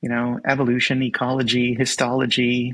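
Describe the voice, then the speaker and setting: At a moderate pace, a man with a medium pitch talks in a monotone, flat intonation. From Canada. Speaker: sleep scientist, zoologist. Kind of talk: interview.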